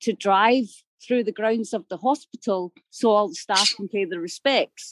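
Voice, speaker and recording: The speaker has a Glasgow accent and talks at a moderate pace. The sound is dry and close, with no echo. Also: woman. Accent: Scottish (Glaswegian). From Glasgow, Scotland. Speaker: caller. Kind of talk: casual chat.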